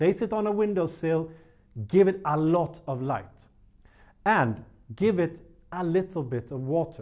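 Against a quiet background, a man with a Swedish accent speaks at a high pitch and fairly slow pace, with lively intonation and long, frequent pauses. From Sweden. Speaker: plant care youtuber. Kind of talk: tutorial. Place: studio. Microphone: lapel.

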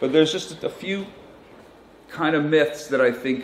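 With an American accent, a man is heard with audible room echo. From United States. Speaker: journalist and author; journalist. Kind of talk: conference talk. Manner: halting. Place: hall. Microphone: handheld.

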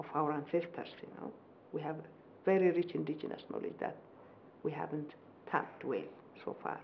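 A woman with an Ethiopian accent talks with fairly even intonation. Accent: Ethiopian English, moderate. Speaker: professor and government minister; professor, government minister. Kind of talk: formal interview. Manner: formal, measured. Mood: earnest, thoughtful. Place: home room. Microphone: lapel.

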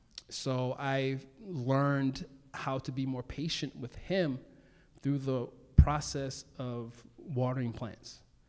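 In an American accent, a man with a medium pitch speaks at a very slow pace with fairly even intonation and big swings in loudness against a quiet background. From Baltimore, Maryland, US. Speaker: plant stylist and author; guest. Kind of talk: on-stage conversation. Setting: stage with audience. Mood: warm, relaxed, reflective. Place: stage. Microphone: handheld.

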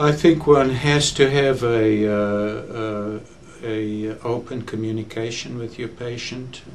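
There is light background noise behind a man speaking. He goes at a very slow pace with fairly even intonation. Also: big swings in loudness. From South Africa. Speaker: physician, general internist. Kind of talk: interview answer. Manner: hesitant, many filler words. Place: studio.

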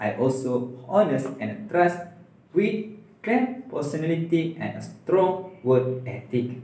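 Audible room echo surrounds a man speaking with a Malaysian accent at a fairly high pitch. He talks very slowly, with very wide pitch swings. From Malaysia, Perak. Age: 20s. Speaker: university student. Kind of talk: video resume. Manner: formal. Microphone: phone near.

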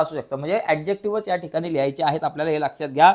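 The man speaks with ordinary pitch variation. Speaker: teacher. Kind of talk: lecture.

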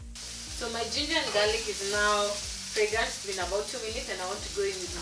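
A woman talks while clear music sounds behind her. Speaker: channel host. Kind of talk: cooking tutorial. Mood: cheerful, relaxed. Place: kitchen. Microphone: camera far.

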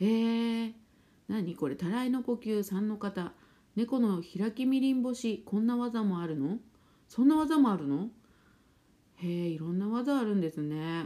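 A woman speaks at a fairly slow pace in a fairly high pitch with lively intonation. Her tone is dark, mellow and relaxed. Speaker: spiritual therapist and fortune teller; live streamer. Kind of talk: casual chat. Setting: live stream. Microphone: phone near.

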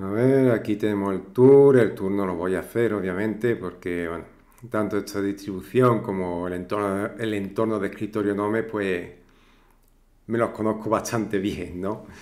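A man speaks at a moderate pace and fairly low pitch, his intonation fairly even. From southern Spain, Cádiz. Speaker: tech YouTuber. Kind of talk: tutorial. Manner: hesitant, many fillers.

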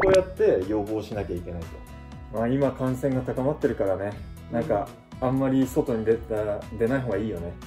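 With clear music in the background, a man at medium pitch speaks at a fairly quick pace, with lively intonation and long, frequent pauses. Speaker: YouTuber interviewer. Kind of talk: casual interview questions. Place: home room. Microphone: camera far.

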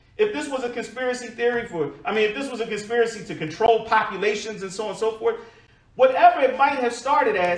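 Audible room echo follows a man who talks at a fairly quick pace. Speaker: preacher. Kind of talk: sermon. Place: church.

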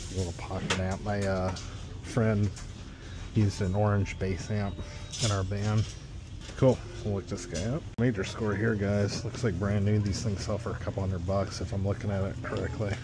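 A man speaks with long, frequent pauses. The sound is dry with no echo, and there is noticeable background noise. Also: moderate pace. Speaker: eBay reseller thrifting. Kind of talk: casual vlog chat. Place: shop. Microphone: phone near.

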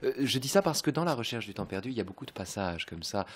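A man's pitch swings very widely. The background is quiet. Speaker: radio host. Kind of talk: radio discussion. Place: home room. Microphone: studio mic.

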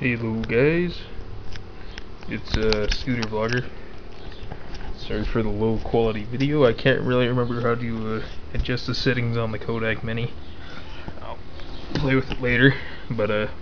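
Noticeable background noise surrounds a man speaking with fairly even intonation and long, frequent pauses. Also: moderate pace. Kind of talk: casual vlog chat. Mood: relaxed, casual. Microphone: phone near.

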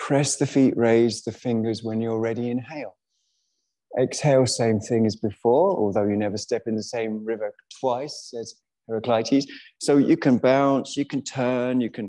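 Against a quiet background, a man talks at a moderate pace in a dark, mellow tone. His intonation stays fairly even. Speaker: yoga teacher. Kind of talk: class instruction. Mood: relaxed, playful. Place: hall.

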